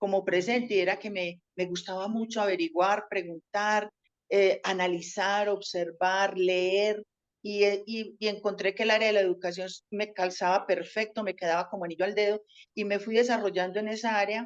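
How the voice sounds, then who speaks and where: A woman speaks at a moderate pace with a medium pitch and monotone, flat intonation. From Colombia, Antioquia (paisa). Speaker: teacher. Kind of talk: interview.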